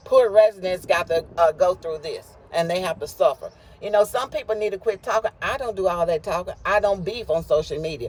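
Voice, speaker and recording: Over noticeable background noise, a man speaks fairly quickly in an animated tone. His pitch is high, with ordinary variation. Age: 60s. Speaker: local resident and activist. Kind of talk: interview.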